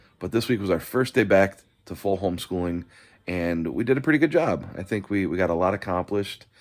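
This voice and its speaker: Speaking at a fairly quick pace, a man is heard in a very clean recording with a silent background. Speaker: vlogger. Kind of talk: casual vlog monologue. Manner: monotone; halting, many fillers and repeats.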